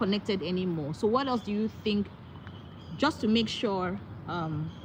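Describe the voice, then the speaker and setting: A woman's medium-pitched voice at a moderate pace, lively in intonation, with noticeable background noise. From Nigeria. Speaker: motivational speaker, YouTuber; new YouTuber. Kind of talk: live stream chat. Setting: outdoors on a walk, live stream. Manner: halting; raising voice to be heard. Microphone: audio too quiet, sounds like whispering.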